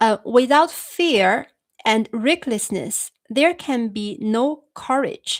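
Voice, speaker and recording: In a very clean recording with a silent background and a dry, close sound with no echo, a woman with a non-native accent talks at a fairly high pitch with ordinary pitch variation. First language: Chinese. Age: 30s. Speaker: YouTuber discussing philosophy. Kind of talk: live stream chat. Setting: live stream. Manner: halting. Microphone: new microphone.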